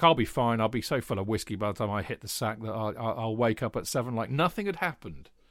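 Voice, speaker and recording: A man talks at a very fast pace with a British accent and a medium pitch. The recording is very clean, with a silent background. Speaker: football podcast host. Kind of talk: casual chat. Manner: animated.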